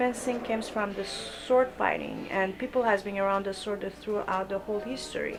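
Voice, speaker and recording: A woman's medium-pitched voice in a Persian accent, with fairly even intonation. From Iran. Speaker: fencing coach. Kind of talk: interview. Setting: fencing club. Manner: halting.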